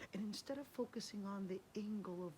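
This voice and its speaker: This woman has a medium pitch with ordinary pitch variation. Hers is an unremarkable speaking voice. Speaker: Islamic studies scholar and lecturer. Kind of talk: Islamic lecture, encouraging talk to camera. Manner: warm, gentle, soft-spoken.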